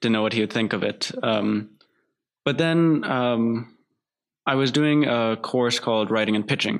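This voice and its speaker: A man with an American accent speaks at a fairly slow pace and a medium pitch. His loudness stays very even, with ordinary pitch variation. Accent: American-sounding accent from TV. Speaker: filmmaker. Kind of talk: casual interview. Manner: halting, many fillers.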